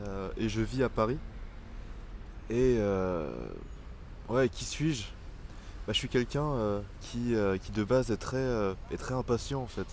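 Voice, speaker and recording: A man talks very slowly, leaving long, frequent pauses. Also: medium pitch for a man, ordinary pitch variation. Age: 20s. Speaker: vlogger. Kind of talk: personal video diary. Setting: outdoors in a park. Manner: halting, many fillers.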